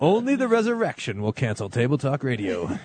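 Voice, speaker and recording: A booming put-on character voice from a man at medium pitch, fairly quick, with very wide pitch swings. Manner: booming radio announcer.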